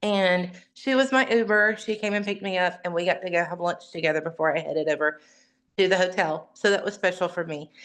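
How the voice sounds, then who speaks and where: A woman talks at a very fast pace in an animated tone. Her pitch varies in an ordinary way. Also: medium pitch for a woman, quiet background. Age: 50s. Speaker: direct sales ambassador. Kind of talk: testimony. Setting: video call.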